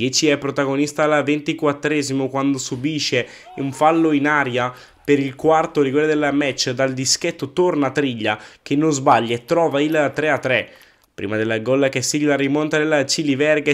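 This is a man with a fairly high pitch and an unremarkable speaking voice. He keeps a moderate pace and fairly even intonation on a very clean recording with a silent background. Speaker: match commentator. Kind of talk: sports commentary. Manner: brisk, clipped match-report recap.

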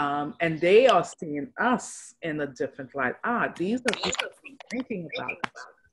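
The voice moves through very wide pitch swings. Noticeable background noise runs underneath. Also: woman, fairly low pitch for a woman, moderate pace. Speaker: social worker; guest. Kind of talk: casual interview chat. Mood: warm, reflective. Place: home room. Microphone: video call.

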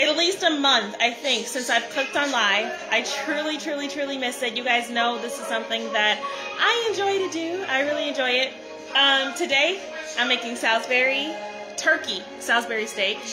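A woman projects a raised voice at a moderate pace with lively intonation. Music plays in the background. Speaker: home cook livestreamer. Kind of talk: casual vlog chat. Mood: cheerful, warm. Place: kitchen. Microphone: phone near.

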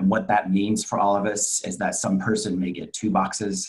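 With an American accent, a man talks at a fairly quick pace in a very deep, low pitch and fairly even intonation. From Texas, Dallas. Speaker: travel industry professional, panelist. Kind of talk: presentation.

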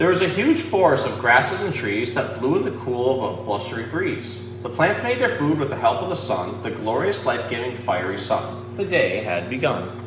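A man's medium-pitched voice with big pitch swings, a moderate pace and few pauses, over clear background noise

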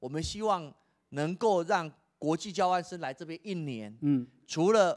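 Against a quiet background, a man talks at a fairly slow pace in a high pitch, with lively intonation and big swings in loudness. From Taiwan. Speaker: education official; guest. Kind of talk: interview. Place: hall. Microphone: handheld.

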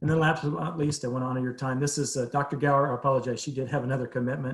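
Very fast male speech at a medium pitch with fairly even intonation. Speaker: behavioral health presenter. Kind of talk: presentation to city council.

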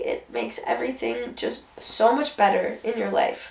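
A woman's tired-sounding voice, with audible echo in the room. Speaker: vlogger. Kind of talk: casual vlog chat. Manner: low, tired sick voice. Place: home room. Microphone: camera far.

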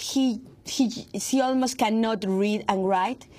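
In a very clean recording with a silent background, a woman with a Spanish accent speaks at a fairly slow pace in a somewhat breathy, fairly high voice with ordinary pitch variation. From Mexico. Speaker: investigative journalist. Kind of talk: interview. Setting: studio. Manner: halting, many fillers and repetitions.

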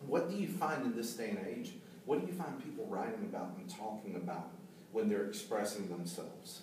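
Amid light background noise and audible room echo, a man speaks at a fairly quick pace with very wide pitch swings. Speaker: drummer and IT executive. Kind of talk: casual discussion. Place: meeting room.

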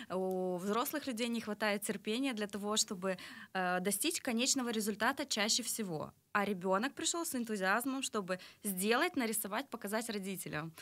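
Her fairly high voice has lively intonation at a moderate pace. This woman speaks with hardly any pauses. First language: Russian (speaking Romanian). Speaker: art studio owner; interview guest. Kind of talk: interview. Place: studio. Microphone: studio mic.

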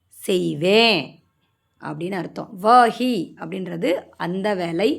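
Vocal fry marks this woman's voice. She talks at a medium pitch. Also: big swings in loudness. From Maharashtra, India (Tamil-speaking family). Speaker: Hindi language teacher. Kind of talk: tutorial.

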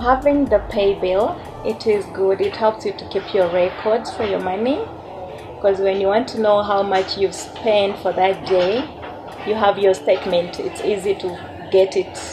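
A woman at a moderate pace with fairly even intonation, over noticeable background noise. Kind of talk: interview answer. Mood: relaxed, friendly. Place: shop.

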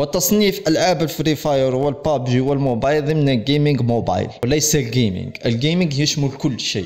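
A man is speaking. His pace is moderate. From Algeria. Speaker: gaming YouTuber. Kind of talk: casual video vlog address to viewers. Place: home room.

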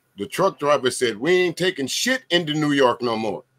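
A man with an American accent speaks at a moderate pace, his fairly high voice bright and sharp with vocal fry. His pitch swings very widely, and the sound is dry and close with no echo. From US South. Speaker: DJ and livestream host. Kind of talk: casual panel discussion. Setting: video call livestream.

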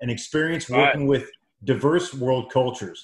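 Audible room echo surrounds a man whose voice is somewhat breathy. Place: home room. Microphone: video call.

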